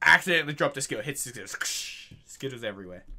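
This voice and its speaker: Someone with an Australian accent talks at a fairly quick pace with vocal fry. The background is quiet. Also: man. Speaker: YouTuber reacting to videos. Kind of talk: casual reaction commentary. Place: home room.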